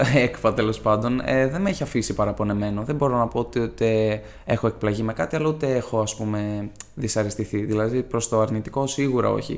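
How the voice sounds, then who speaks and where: An unremarkable speaking voice, a man's, its pitch varying in an ordinary way. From Greece, Ioannina (Epirus). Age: 20s. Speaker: law student. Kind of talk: casual interview.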